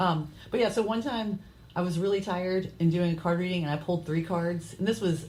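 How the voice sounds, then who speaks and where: In a room with audible echo, a woman with a fairly low pitch speaks fairly quickly, somewhat breathy, with ordinary pitch variation. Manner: fast.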